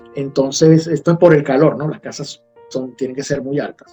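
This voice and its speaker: Over background music, a man talks at a moderate pace with a fairly high pitch and fairly even intonation. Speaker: journalist. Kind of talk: interview answer.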